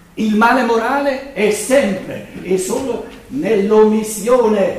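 Audible room echo and noticeable background noise surround a man whose high pitch has ordinary pitch variation. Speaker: lecturer on philosophy. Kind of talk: lecture. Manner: loud; halting.

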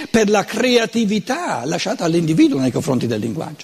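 In a Lombard accent, a man speaks at a moderate pace and a high pitch, making very wide pitch swings against noticeable background noise. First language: Lombard dialect (speaking Italian). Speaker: lecturer on philosophy. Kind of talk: lecture.

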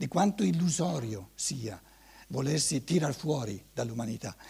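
A man talks fairly slowly, somewhat breathy, his pitch swinging very widely. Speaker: lecturer on anthroposophy. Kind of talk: lecture. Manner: hesitant, many repetitions and fillers.

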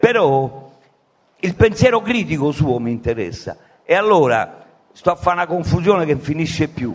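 A man's fairly high pitch with very wide pitch swings, at a moderate pace, with long, frequent pauses. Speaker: audience member. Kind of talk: audience question. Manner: loud; halting.

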